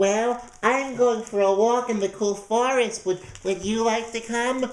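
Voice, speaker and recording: Delivered at a fairly slow pace, the put-on character voice is fairly high in pitch. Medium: read story. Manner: sly, ingratiating.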